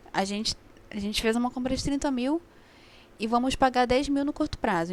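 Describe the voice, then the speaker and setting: A woman talks at a moderate pace, her high voice showing ordinary pitch variation. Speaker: accounting tutor. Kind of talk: online review class.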